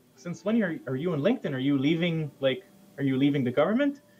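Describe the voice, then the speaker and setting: Faint music plays behind a man as he speaks. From Israel. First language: Hebrew. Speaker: security researcher; guest. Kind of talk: casual chat. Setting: video call. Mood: relaxed storytelling. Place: home room. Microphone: webcam.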